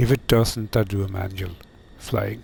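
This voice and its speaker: Rather slow male speech, with distinct noise in the background. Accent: non-native. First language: not English. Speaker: flight sim streamer. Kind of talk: live gameplay commentary. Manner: halting, many fillers.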